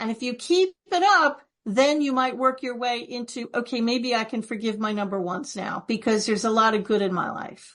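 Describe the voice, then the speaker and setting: A woman with a fairly high pitch talks at a moderate pace in an ordinary speaking voice, with ordinary pitch variation and hardly any pauses. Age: 60s. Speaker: author. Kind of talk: interview. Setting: podcast recording.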